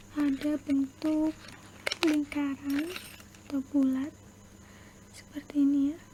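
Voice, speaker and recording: A soft-spoken woman at a high pitch and a very slow pace, with monotone, flat intonation, long, frequent pauses, and noticeable background noise. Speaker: ASMR creator doing dentist roleplay. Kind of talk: ASMR dentist roleplay, explaining a teeth cleaning. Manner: soft-spoken, slow.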